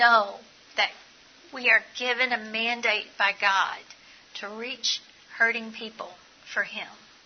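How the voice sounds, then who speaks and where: Over noticeable background noise, a woman speaks very slowly at a fairly high pitch with fairly even intonation. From Eastern Kentucky. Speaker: nursing professor giving a talk. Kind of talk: preaching, faith-based. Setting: conference presentation with audience Q&A.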